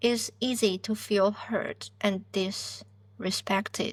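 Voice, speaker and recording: Recorded very cleanly with a silent background, a woman talks at a medium pitch. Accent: non-native. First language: not English. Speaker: podcast host, PhD student. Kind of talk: self-help podcast monologue.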